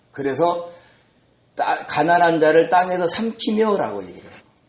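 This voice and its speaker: Amid audible room echo, a man speaks at a moderate pace in a high voice. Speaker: pastor. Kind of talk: sermon. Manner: conversational, rhetorical questions.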